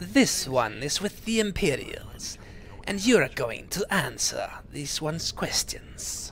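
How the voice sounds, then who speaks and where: A man puts on a raspy character voice, pitched high for a man. He speaks at a fairly slow pace over clear background noise. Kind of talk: speaks of himself in third person. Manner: menacing, threatening.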